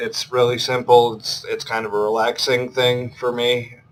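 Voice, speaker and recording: Mumbling at a moderate pace, a man speaks at a medium pitch. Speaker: gaming YouTuber. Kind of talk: let's play commentary. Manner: monotone. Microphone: laptop built-in mic.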